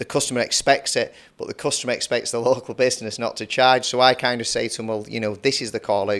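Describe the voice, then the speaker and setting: A man with a Lancashire accent talks very fast in a medium pitch, his intonation monotone and flat. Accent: Lancashire (Bolton) English. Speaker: podcast host, plumbing and heating business owner. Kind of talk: casual interview chat.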